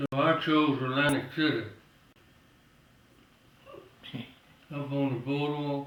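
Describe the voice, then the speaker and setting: A man with an American accent speaks at a very slow pace in a fairly high pitch, his intonation flat and monotone, with long, frequent pauses and noticeable background noise. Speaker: World War II veteran. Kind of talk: oral history interview answer. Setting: home.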